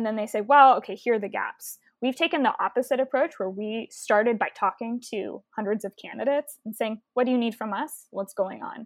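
A woman with an American accent, an unremarkable speaking voice, fairly high pitch, ordinary pitch variation and a fairly quick pace with hardly any pauses. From Texas (Houston). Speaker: climate nonprofit founder. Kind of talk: interview.

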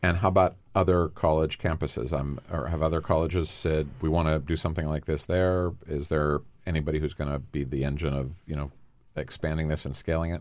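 Speaking at a fairly quick pace, a man with a very deep, low voice keeps his intonation fairly even. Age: 60s. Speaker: podcast host, nonprofit founder. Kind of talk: interview. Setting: studio.

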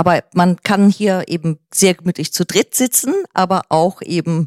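In an ordinary speaking voice, a woman speaks at a medium pitch and a fairly slow pace with ordinary pitch variation, on a very clean recording with a silent background and a dry, close sound with no echo. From northern Germany, near Kiel. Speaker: artist and homeowner. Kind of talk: casual interview.

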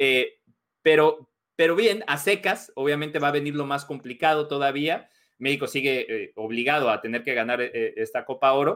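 On a very clean recording with a silent background, a man talks at a moderate pace. His pitch is fairly high, with ordinary variation. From Mexico. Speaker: sports journalist. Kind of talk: casual chat. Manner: halting.

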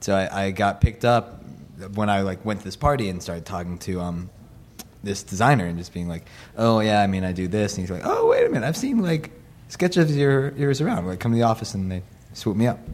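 Talking at a very fast pace, a man with an American accent uses a fairly low pitch and lively intonation over noticeable background noise. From Los Angeles. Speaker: musician and designer. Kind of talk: casual chat. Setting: studio.

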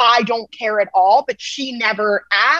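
A woman talks with a fairly high pitch. Her tone is animated and energetic. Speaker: TikTok creator and podcast co-host. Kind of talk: casual interview chat. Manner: animated, energetic.

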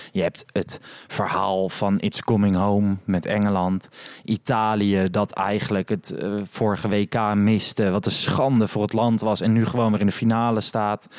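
A man speaks at a fairly low pitch with a monotone, flat intonation and very even loudness. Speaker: podcast host. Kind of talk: casual chat. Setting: hotel lobby at night.

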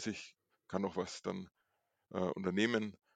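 A man's fairly low voice at a moderate pace, monotone and flat, over a quiet background. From Franconia, Nuremberg. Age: 40s. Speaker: streak runner. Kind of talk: casual interview.

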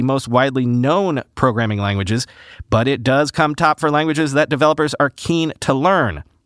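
In a normal speaking voice, a man talks at a moderate pace with lively intonation, the sound dry and close with no echo on a very clean recording with a silent background. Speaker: podcast host. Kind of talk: scripted news narration.

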